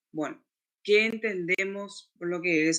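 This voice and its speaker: Pitched high, a man speaks with ordinary pitch variation. His pace is fairly slow. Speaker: lecturer. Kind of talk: lecture.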